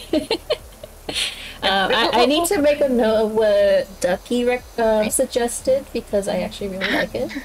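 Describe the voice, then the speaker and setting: Lively intonation with an American accent at a moderate pace, over noticeable background noise. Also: woman, high pitch for a woman. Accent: generic American. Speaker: streamer. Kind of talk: casual chat.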